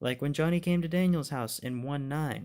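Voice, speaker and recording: A man's fairly high voice at a moderate pace on a very clean recording with a silent background. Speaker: YouTuber giving TV show commentary. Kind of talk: casual monologue review. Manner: halting, self-correcting.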